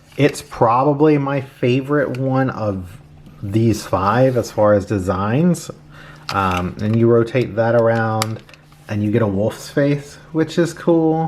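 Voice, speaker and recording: Noticeable background noise is present. The delivery is very slow. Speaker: toy reviewer. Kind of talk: product review. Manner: casual, many fillers.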